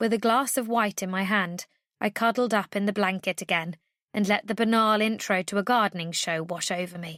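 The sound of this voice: It is an unforced reading voice. Behind it, the background is quiet.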